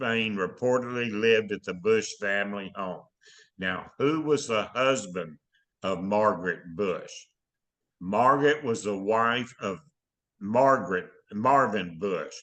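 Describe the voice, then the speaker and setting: This man speaks at a very slow pace. He leaves long, frequent pauses. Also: quiet background. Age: 80s+. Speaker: veteran and researcher. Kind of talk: interview answer.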